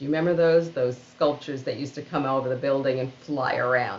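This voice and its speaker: A woman's very deep, low voice with a New York accent, over noticeable background noise. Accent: New York City. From Queens, New York City. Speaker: organizational storyteller and keynote speaker. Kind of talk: book reading.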